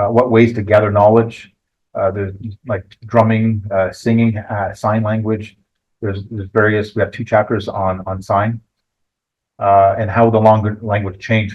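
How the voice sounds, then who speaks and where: A man talks at a moderate pace in a fairly low pitch. His intonation stays monotone and flat. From Quebec, Canada. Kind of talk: book launch presentation. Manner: halting, many fillers and repeats.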